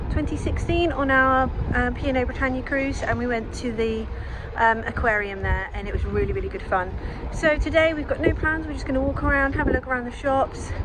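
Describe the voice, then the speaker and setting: Fairly quick female speech against noticeable background noise. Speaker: travel vlogger. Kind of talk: casual vlog narration.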